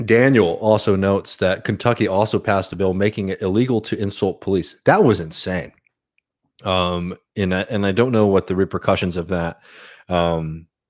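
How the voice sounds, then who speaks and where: A man with an American accent uses a normal speaking voice, fairly low in pitch, at a moderate pace and with fairly even intonation. The recording is very clean, with a silent background. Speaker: livestream host, political commentator. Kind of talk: casual livestream chat with audience. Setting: live stream reading chat. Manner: many fillers and restarts.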